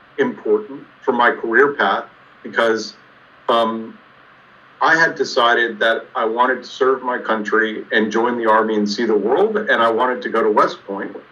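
Noticeable background noise sits behind this recording. A man with an American accent speaks at a fairly slow pace. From US Southwest, Tucson, Arizona. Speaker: engineering professor. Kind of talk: interview.

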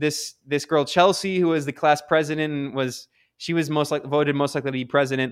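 A man with an American accent talks at a fairly quick pace in an unremarkable speaking voice. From US Midwest and South (Ohio, Kentucky, Maryland). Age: 30s. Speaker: journalist. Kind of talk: interview. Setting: video call. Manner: casual, many fillers.

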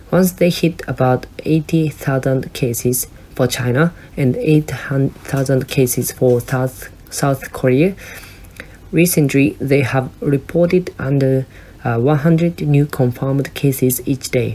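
Over noticeable background noise, a woman with a Japanese accent speaks at a very slow pace in a very deep, low pitch, her loudness very even and her pitch variation ordinary. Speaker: podcast host. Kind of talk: solo monologue, partly read from script. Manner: halting.

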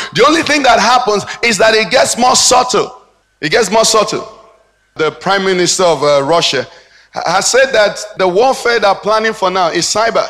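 At a moderate pace, a man talks in a high voice with lively intonation. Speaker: pastor. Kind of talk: sermon. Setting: church.

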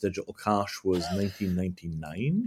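The recording is very clean, with a silent background. An ordinary speaking voice moves at a moderate pace with ordinary pitch variation. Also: man. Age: 40s. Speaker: tech company founder. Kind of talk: interview.

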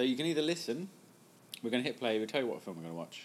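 A man talks in a British accent. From UK. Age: 30s. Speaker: mentalist. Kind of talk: casual chat.

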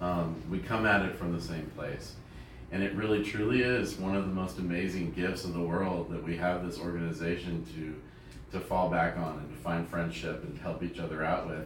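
A man speaks at a moderate pace in a very deep, low voice. Noticeable noise sits in the background. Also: ordinary pitch variation. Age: young. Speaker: meeting attendee. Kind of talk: testimony.

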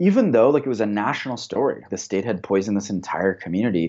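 This man speaks in an ordinary speaking voice with an American accent, at a fairly quick pace. His pitch is fairly low, with ordinary pitch variation. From Flint, Michigan. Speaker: community organizer. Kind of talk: interview.

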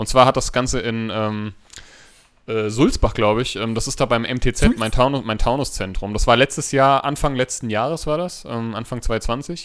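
A man speaks in an ordinary speaking voice, medium in pitch with ordinary pitch variation, at a moderate pace. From Hesse, Hanau. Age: 30s. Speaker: podcast co-host, nursery teacher. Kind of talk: casual chat. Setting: home recording room.

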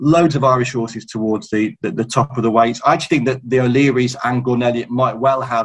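A man in a British accent at a fairly quick pace, with hardly any pauses. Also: medium pitch for a man, ordinary pitch variation. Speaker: racing journalist. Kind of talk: casual chat.

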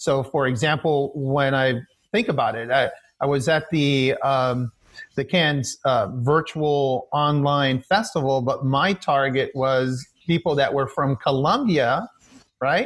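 Somewhat breathy, a man with an American accent speaks with ordinary pitch variation. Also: fairly high pitch for a man, fairly slow pace. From Miami, Florida (Hialeah). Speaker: film producer. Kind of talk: interview.

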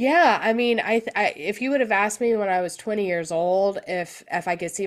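At a moderate pace, a woman with an American accent talks in an unremarkable speaking voice with ordinary pitch variation. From US South, Georgia (Gwinnett County). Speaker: flute teacher. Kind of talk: interview.

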